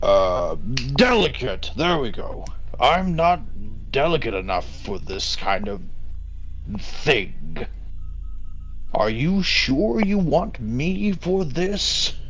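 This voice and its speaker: A man's put-on character voice at a very slow pace, broken by long, frequent pauses, over clear background noise. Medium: actual play. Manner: gruff, blunt, brooding.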